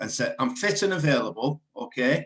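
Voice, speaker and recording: With an English accent, a man talks at a moderate pace using lively intonation. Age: 60s. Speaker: radio presenter. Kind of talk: interview.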